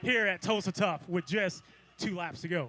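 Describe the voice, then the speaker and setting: A man with an American accent uses a raised, projected voice at a fairly quick pace. Background noise is noticeable. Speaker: cycling race commentator. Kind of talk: live commentary.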